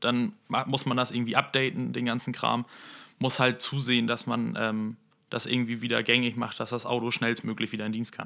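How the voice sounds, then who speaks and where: The pace is moderate and the intonation fairly even. A bright, sharp tone comes through on a very clean recording with a silent background. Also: man, medium pitch for a man. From northern Germany, Lüneburg district, Lower Saxony. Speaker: vehicle mechatronics apprentice. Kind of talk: interview.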